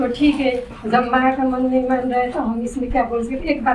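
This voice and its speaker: A woman talks at a moderate pace with a fairly high pitch. Noticeable background noise runs behind her. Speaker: mother. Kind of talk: personal testimony.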